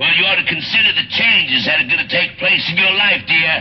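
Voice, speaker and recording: Light background noise beneath a man talking. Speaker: radio disc jockey. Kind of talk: military radio public service announcement read. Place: studio.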